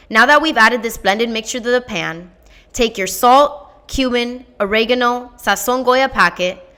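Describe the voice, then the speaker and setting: Loud and animated, a woman speaks in a bright, sharp, high voice with ordinary pitch variation. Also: moderate pace. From Miami, Florida. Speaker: fellowship applicant. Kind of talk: scripted narration.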